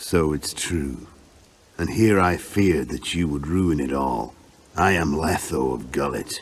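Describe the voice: A man puts on a character voice at an extremely low pitch. He talks at a slow pace with ordinary pitch variation.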